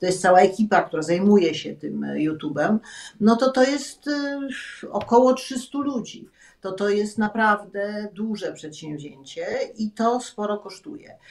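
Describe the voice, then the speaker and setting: In a Polish accent, a woman talks at a fairly slow pace with a medium pitch and lively intonation. Her loudness swings widely against a quiet background. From Poland. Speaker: former TV channel director. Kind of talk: interview. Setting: video call. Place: home room. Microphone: video call.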